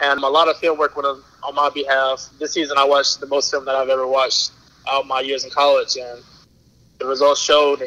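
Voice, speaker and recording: Noticeable noise sits behind a man with an American accent. He speaks at a fairly quick pace and fairly high pitch, with monotone, flat intonation. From North Carolina, High Point. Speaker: professional football player. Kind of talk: podcast interview.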